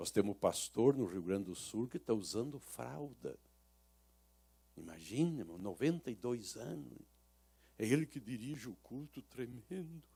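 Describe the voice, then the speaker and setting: A man with vocal fry and a dark, mellow tone speaks at a medium pitch and a fairly slow pace, leaving long, frequent pauses. His loudness swings widely and his pitch swings are very wide. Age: 60s. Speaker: pastor. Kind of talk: sermon.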